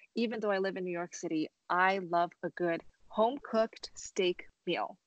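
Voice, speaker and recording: At a fairly slow pace, a woman with a Californian accent talks at a medium pitch. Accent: General American, California. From Los Angeles, US. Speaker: pianist and violinist. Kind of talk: interview conversation.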